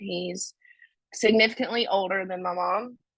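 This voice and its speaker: Bright and sharp in tone, a woman with a North Carolina accent speaks at a fairly slow pace. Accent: rural North Carolina Southern. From US South, North Carolina (Stokes County). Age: 20s. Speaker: recovery speaker. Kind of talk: testimony.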